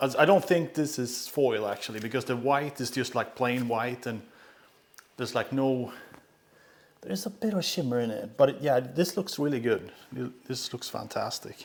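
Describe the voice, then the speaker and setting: With a non-native accent, a man talks at a moderate pace and medium pitch, using ordinary pitch variation. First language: not English. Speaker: pinball streamer. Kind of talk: live stream unboxing commentary. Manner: casual, halting with many fillers.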